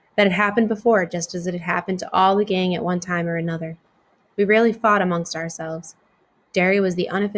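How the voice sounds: Fairly even intonation in a natural reading voice.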